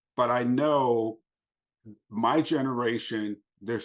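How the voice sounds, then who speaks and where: Over a quiet background, a man with an American accent speaks in an unremarkable speaking voice, medium in pitch with ordinary pitch variation. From Los Angeles, US. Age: 60s. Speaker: abuse survivor and speaker. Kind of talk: interview.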